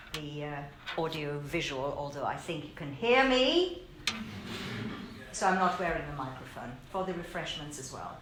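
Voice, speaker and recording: There is noticeable background noise and audible room echo. A woman speaks fairly slowly with lively intonation. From Germany. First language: German. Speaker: law lecturer and author. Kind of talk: speech of thanks. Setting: event hall with audience.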